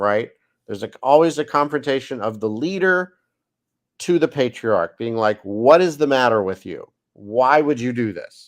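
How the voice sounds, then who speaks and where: A man with a plain, everyday voice speaks at medium pitch and a moderate pace, his intonation lively and his loudness swinging widely. The recording is very clean, with a silent background. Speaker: rabbi and Bible study host. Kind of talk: Bible study lecture.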